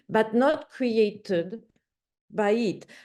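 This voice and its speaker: The voice carries a dark, mellow tone. Behind it, the background stays quiet. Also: woman. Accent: French. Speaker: academic discussant. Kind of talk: panel discussion. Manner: halting, with self-corrections.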